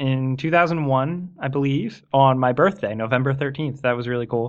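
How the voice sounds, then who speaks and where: This man talks at a moderate pace with a fairly high pitch, ordinary pitch variation and an ordinary speaking voice. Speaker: YouTube gaming presenter. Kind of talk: casual chat. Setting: Skype call.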